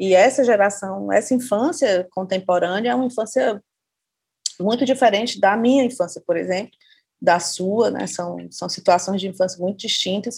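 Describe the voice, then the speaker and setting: Speaking at a moderate pace, a woman has a plain, everyday voice, a medium pitch and ordinary pitch variation. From Brazil, Fortaleza, Ceará. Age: 40s. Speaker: writer and journalist. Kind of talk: casual interview.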